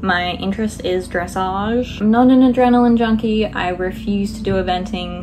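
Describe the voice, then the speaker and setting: Recorded with audible room echo and noticeable background noise, a woman speaks with an Australian accent. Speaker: book vlogger. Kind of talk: casual vlog talk. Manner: animated.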